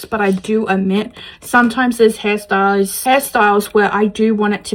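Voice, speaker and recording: Someone talks at a moderate pace with an Australian accent over noticeable background noise. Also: woman. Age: 20s. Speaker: beauty vlogger. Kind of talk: casual talk to camera. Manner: chatty.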